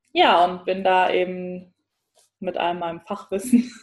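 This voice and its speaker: This woman speaks at a very slow pace with a medium pitch. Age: 20s. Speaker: psychologist and mother. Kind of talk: interview.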